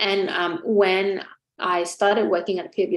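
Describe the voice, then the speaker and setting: A woman speaks with a Vietnamese accent. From Vietnam, Ho Chi Minh City. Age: 20s. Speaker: chartered accountant. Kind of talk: webinar interview. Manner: hesitant, many fillers.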